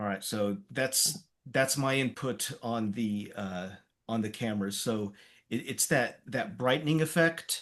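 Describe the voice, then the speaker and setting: A man speaks at medium pitch with ordinary pitch variation. The background is quiet. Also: fairly slow pace. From US, Polish immigrant family. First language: Polish. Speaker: amateur eclipse photographer. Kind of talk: casual chat.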